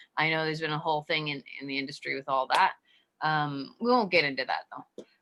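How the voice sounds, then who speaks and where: A woman talks at a very fast pace in a very deep, low pitch. Her tone is bright and sharp, with ordinary pitch variation. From Romania. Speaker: podcast host. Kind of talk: interview conversation.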